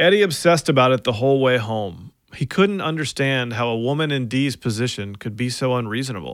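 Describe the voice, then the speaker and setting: A man talks at a fairly quick pace and a medium pitch. His is an unremarkable speaking voice. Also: hardly any pauses. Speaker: podcast host and narrator. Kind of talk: true-crime narration, with a casual intro and outro. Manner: measured, storytelling, conversational.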